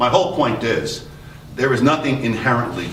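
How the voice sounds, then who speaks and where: A man in a New York accent with lively intonation at a moderate pace, amid noticeable background noise and audible room echo. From New York City. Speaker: retired police officer, panelist. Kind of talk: panel discussion.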